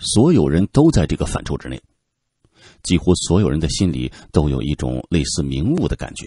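A man with a very deep, low pitch and vocal fry speaks at a moderate pace in a dark, mellow tone. His delivery is dramatic and calm, the sound dry and close with no echo. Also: ordinary pitch variation, quiet background. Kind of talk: literary audiobook narration. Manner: dramatic, expressive, shifting from calm narration to tense, rhetorical questioning; steady measured pacing, tone turns grave in suspenseful passages.

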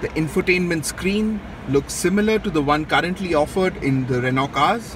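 Noticeable background noise surrounds a man speaking fairly slowly with ordinary pitch variation, in a dry sound with no echo. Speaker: car reviewer. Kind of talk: walkaround commentary. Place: hall. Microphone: phone near.

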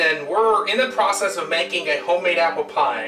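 A man talking at a fairly quick pace over clear background music. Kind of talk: tutorial. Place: kitchen. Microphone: camera far.

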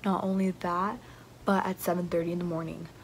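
A woman speaks at a moderate pace with a somewhat breathy voice. Light background noise can be heard. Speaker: student vlogger. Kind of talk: casual vlog chat. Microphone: phone near.

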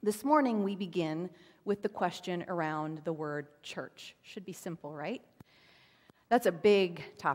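A woman talks in an ordinary speaking voice with fairly low pitch at a fairly slow pace. Her loudness swings widely. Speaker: pastor. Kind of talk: sermon. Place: church.

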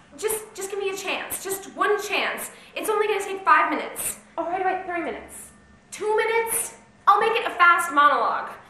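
Raising and projecting her voice, a woman talks at a fairly quick pace with ordinary pitch variation, with audible room echo and light background noise. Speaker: actor playing an auditioning hopeful. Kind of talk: acted scene, pleading monologue. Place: stage. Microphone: camera far.

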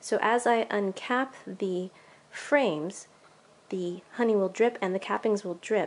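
A woman speaks at a fairly slow pace. Her pitch varies in an ordinary way. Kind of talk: tutorial vlog. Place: home room. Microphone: phone near.

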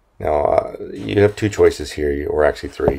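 The man talks at a moderate pace. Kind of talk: tutorial narration.

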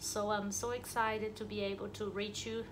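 A woman speaks at a moderate pace. Noticeable background noise runs underneath. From Brazil. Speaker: dental therapist. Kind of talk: channel introduction. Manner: hesitant, many fillers. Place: office. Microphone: phone near.

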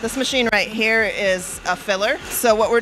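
Against light background noise, a woman talks at a moderate pace. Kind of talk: interview answer. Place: kitchen. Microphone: handheld.

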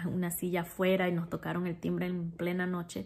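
A woman's fairly low, slightly mellow voice with vocal fry, a fairly quick pace and monotone, flat intonation

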